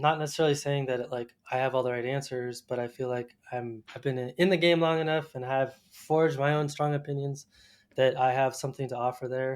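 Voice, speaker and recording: A man with an American accent at a medium pitch, talking at a fairly quick pace in a flat monotone, on a very clean recording with a silent background. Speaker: landscape photographer and podcast host. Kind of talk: podcast interview.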